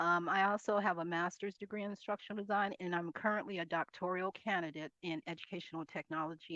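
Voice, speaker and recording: A woman's bright, sharp voice at a very fast pace, fairly even in intonation, dry and close with no echo, over a quiet background. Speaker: instructional designer and college faculty member. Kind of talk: conference presentation.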